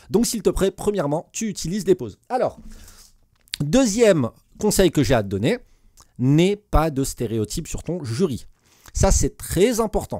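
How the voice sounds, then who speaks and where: Against a quiet background, a man with a dark, mellow tone talks with very wide pitch swings. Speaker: teacher and exam coach; teacher giving exam advice. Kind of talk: tutorial. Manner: fast; hesitant with many fillers. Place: home room. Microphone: studio mic.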